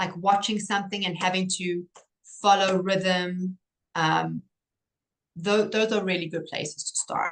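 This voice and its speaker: A woman with a South African accent speaks at a medium pitch with fairly even intonation. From South Africa, Cape Town. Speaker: pediatric occupational therapist. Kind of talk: interview.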